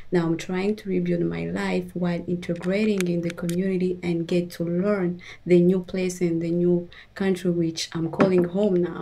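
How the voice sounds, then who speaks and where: Over noticeable background noise, a woman with a fairly low voice speaks at a moderate pace in a flat, monotone way. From Democratic Republic of the Congo. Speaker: former refugee. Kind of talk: panel discussion.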